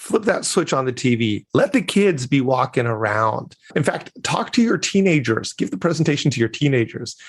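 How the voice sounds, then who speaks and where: Against a quiet background, a somewhat breathy man speaks at very even loudness while his pitch swings very widely. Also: medium pitch for a man, moderate pace, hardly any pauses. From grew up abroad as son of missionaries. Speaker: communication coach and keynote speaker. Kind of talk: interview. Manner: animated.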